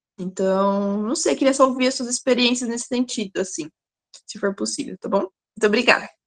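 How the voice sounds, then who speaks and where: The delivery moves at a moderate pace with lively intonation and big swings in loudness. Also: woman, fairly high pitch for a woman. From Campinas, interior of São Paulo, Brazil. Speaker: workshop participant asking a question. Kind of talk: question in an online seminar. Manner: halting, many fillers and repetitions.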